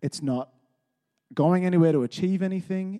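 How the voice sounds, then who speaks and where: At a moderate pace, a man speaks in a dark, mellow tone, the sound dry and close with no echo on a very clean recording with a silent background. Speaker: church member giving a talk. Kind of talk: sermon. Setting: church. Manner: casual.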